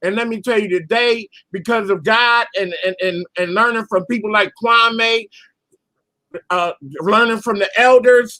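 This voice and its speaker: A man speaks in a high, raised and projected voice with a bright, sharp tone. His pitch moves in an ordinary way. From US Northeast, Philadelphia. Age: 60s. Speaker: caller. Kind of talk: casual chat. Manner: animated.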